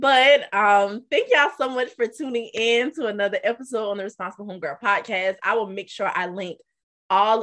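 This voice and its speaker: Against a quiet background, a woman with an American accent talks at a fairly quick pace in an unremarkable speaking voice with ordinary pitch variation. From US South, South Carolina. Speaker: podcast host. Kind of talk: interview.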